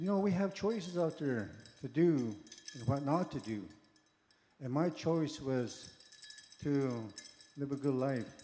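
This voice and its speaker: Pausing often and at length, a man with a fairly high pitch talks at a fairly slow pace. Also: lively intonation. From Montana, Blackfeet Reservation. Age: 60s. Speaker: powwow dancer. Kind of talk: interview testimony. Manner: casual, conversational.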